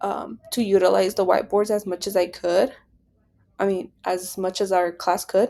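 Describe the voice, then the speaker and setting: A woman's medium-pitched, dark, mellow voice in a Spanish accent, on a very clean recording with a silent background. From Nebraska, US. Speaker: education student. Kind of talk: class presentation. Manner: hesitant, many fillers.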